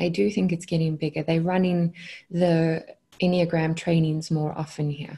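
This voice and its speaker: Against a quiet background, a woman with a South African accent speaks at a moderate pace and fairly low pitch, her dark, mellow tone somewhat breathy and her intonation fairly even. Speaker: consciousness coach. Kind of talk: podcast interview answer. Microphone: earbuds.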